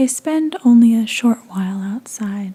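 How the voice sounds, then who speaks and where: The speaker is soft-spoken, with a soothing tone and a fairly slow pace. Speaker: ASMR content creator. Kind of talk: soft-spoken ASMR fanfiction reading. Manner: soft-spoken, soothing.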